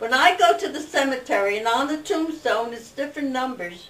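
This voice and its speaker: Someone talks at a fairly quick pace with an American accent, with noticeable background noise. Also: woman. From Newark, New Jersey. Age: 90s. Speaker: family elder interviewed. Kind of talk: oral history interview.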